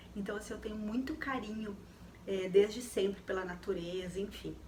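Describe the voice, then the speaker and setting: A woman is speaking in a room with audible echo. Background noise is noticeable. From Rio Grande do Sul, southern Brazil. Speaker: lifestyle YouTuber. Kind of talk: casual personal talk to viewers. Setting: home, dim lamp light. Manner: hesitant, many fillers.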